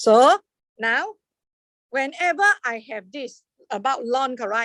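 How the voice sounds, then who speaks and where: A woman speaks at a high pitch. The sound is dry and close, with no echo. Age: 60s. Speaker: maths lecturer. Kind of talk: lecture. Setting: classroom with online students.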